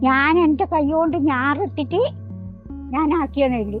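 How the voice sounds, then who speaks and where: A woman with music in the background and audible room echo. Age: 80s+. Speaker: farmer. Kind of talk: interview.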